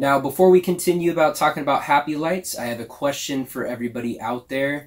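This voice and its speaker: A man at a moderate pace with fairly even intonation, over a quiet background. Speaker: product reviewer. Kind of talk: casual vlog chat. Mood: earnest, personal. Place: home room.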